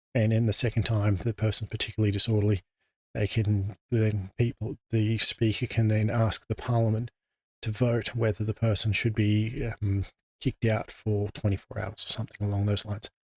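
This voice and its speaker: On a very clean, dry, close recording with no echo and a silent background, a man with an Australian accent speaks at a moderate pace and fairly low pitch, somewhat breathy, in a monotone, flat intonation with very even loudness. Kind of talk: informal explanatory talk.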